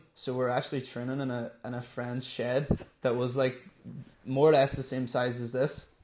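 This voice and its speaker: A man with a Donegal accent speaks at a moderate pace. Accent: Donegal Irish. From Ireland, Donegal (Letterkenny). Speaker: amateur MMA fighter. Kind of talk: interview. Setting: in the gym.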